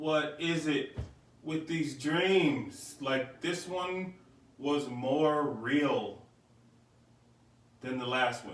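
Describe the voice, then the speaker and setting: A man with a fairly high pitch talks at a very slow pace with long, frequent pauses. Audible room echo and noticeable background noise surround him. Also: ordinary pitch variation. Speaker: podcast host. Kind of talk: casual monologue. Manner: loud.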